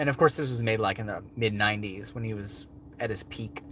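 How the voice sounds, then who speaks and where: Speaking at a fairly quick pace, a man has an ordinary speaking voice of medium pitch with fairly even intonation. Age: 30s. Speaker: wildlife show host. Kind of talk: livestream Q&A. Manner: casual, filler-heavy.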